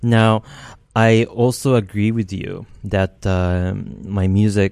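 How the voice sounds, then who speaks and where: His pitch fairly low, the man speaks with fairly even intonation. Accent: Japanese. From Japan. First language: Japanese. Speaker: composer. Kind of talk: interview. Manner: halting.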